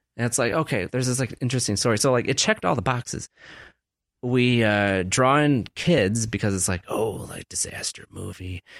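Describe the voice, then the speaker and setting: Dry and close with no echo, this very clean recording with a silent background has a man talking at a fairly quick pace and medium pitch. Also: ordinary pitch variation. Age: 30s. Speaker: film podcast host. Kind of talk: casual chat. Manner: animated.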